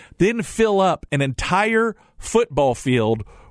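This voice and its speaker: A man speaks very slowly with lively intonation, in a very clean recording with a silent background and a dry, close sound with no echo. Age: 50s. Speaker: financial advisor and radio host. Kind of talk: radio talk show monologue.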